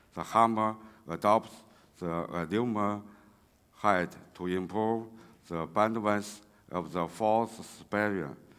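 A man with a Chinese accent speaks at a very slow pace and a fairly low pitch, with fairly even intonation and long, frequent pauses. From China. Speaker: railway engineering researcher; conference presenter. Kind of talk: conference talk. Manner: halting, many fillers. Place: hall. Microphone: podium.

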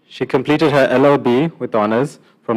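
With a quiet background, a man talks at a fairly quick pace and fairly even intonation. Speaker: event emcee. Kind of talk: formal ceremony speech. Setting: stage with audience. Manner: formal. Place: hall. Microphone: podium.

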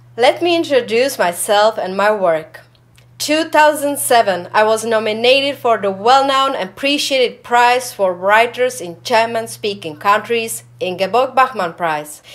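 A woman with a Czech accent speaks at a fairly slow pace with lively intonation. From Czechoslovakia. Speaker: writer. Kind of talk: self-introduction. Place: studio.

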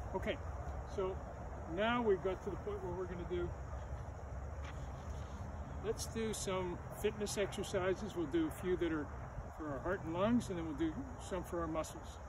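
Over noticeable background noise, a man talks at a moderate pace with long, frequent pauses, the sound dry with no echo. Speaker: gym teacher. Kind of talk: exercise class instruction. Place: open country. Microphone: camera far.

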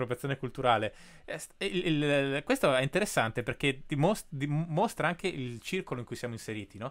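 A man speaks at a fairly quick pace with very wide pitch swings over a quiet background. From Italy, Bolzano; Italy. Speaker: podcast host. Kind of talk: interview. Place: home room. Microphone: studio mic.

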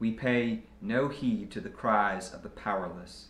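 A man speaks at a very slow pace with ordinary pitch variation. Audible room echo surrounds him. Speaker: pastor. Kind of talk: fervent communal prayer of confession, liturgical and solemn. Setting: church. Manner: measured, reverent cadence with earnest pleading tone; formal liturgical phrasing, occasional small repetitions. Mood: solemn, calm. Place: office.

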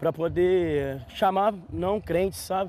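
A man speaks in a dark, mellow tone. The sound is dry with no echo, over light background noise. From Minas Gerais, Brazil. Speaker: church sports ministry member; interviewee. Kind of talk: on-site interview; interview answer. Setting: outdoors on a football pitch. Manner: halting, repeats words. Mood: calm, sincere. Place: open country. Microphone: lapel.

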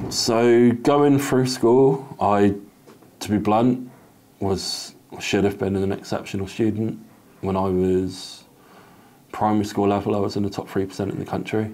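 A man speaks at a fairly low pitch in a dark, mellow tone with fairly even intonation. His pace is fairly slow, with long, frequent pauses. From Torquay, Devon, England; England. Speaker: survivor sharing life story; interviewee. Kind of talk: testimony. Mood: reflective, earnest. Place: home room. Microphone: lapel.

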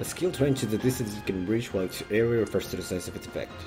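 Over music in the background, a man talks at a very fast pace with medium pitch and ordinary pitch variation. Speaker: streamer. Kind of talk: casual gameplay commentary.

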